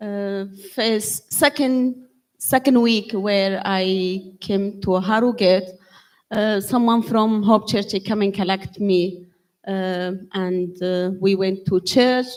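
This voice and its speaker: Speaking at a very slow pace with a Kurdish accent, a woman keeps her intonation fairly even in a very clean recording with a silent background. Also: medium pitch for a woman. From Syria, Kurdish. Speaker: church member giving testimony. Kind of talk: testimony. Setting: church with congregation. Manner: halting.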